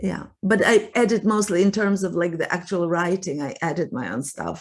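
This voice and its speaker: A woman's medium-pitched voice with ordinary pitch variation, in a Russian accent. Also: moderate pace. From Russia (Soviet Union). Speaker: writer and relationship coach. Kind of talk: interview conversation. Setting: podcast interview.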